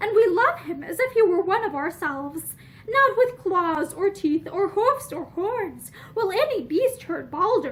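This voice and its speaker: Clear background noise sits behind a woman doing a put-on character voice. Her pitch is extremely high. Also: moderate pace. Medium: read story.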